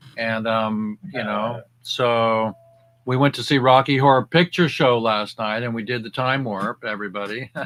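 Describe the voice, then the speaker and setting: A man with a normal speaking voice talks at a moderate pace in a medium pitch, his intonation fairly even. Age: 60s. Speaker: cannabis activist show host. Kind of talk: casual chat. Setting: video call.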